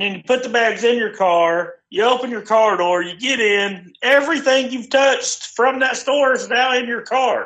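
Loud and bright with a sharp tone, a man speaks at an extremely high pitch with ordinary pitch variation at a moderate pace. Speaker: friend calling in. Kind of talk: casual chat. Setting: phone call.

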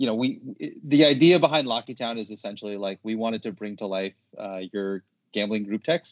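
This man has an unremarkable speaking voice at medium pitch with ordinary pitch variation. He talks at a fairly quick pace. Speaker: sports media social team member. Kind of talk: casual chat. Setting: video call.

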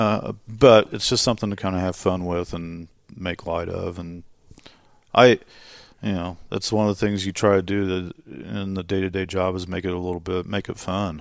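Speaking at a moderate pace with an American accent, a man uses a very deep, low pitch and fairly even intonation in a very clean recording with a silent background. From Indiana. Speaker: sports media relations director. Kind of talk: casual interview. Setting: arena office.

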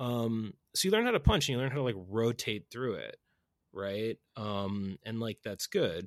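A man with an American accent speaks at a fairly slow pace and medium pitch, with ordinary pitch variation and an unremarkable speaking voice. The recording is very clean, with a silent background and a dry, close sound free of echo. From US Northeast (Boston). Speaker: podcast host. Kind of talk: casual chat.

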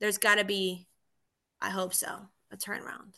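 A woman speaks with a bright, sharp tone at a medium pitch. Her intonation stays fairly even, with some vocal fry. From Argentina, then raised in Miami from age nine. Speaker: police officer. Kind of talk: casual interview chat. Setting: remote call.

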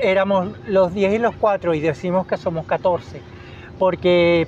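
Against noticeable background noise, a high-pitched man speaks at a very slow pace with fairly even intonation. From Venezuela, Caracas. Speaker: biologist, educator and children's author. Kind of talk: radio interview.

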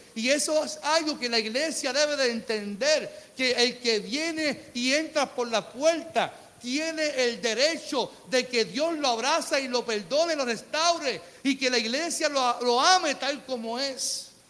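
Raised and projected, a man's voice sits at an extremely high pitch, animated and warm in tone, moving at a fairly slow pace with hardly any pauses and ordinary pitch variation. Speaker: pastor. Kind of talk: sermon preached live to a church congregation, rhetorical questions and calls for amen. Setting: church. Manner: animated, fervent preacher, repeats phrases for emphasis, colloquial and warm.

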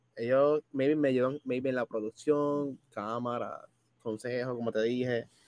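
A man speaks in a Puerto Rican accent at a medium pitch with ordinary variation. The sound is dry and close, with no echo. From Puerto Rico, Bayamón. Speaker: gaming content creator. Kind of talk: casual chat. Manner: animated.

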